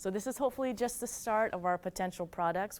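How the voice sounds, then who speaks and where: A woman with an American accent, lively intonation and a fairly quick pace. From Kentucky, US South. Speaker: retail company host. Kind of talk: live webinar wrap-up.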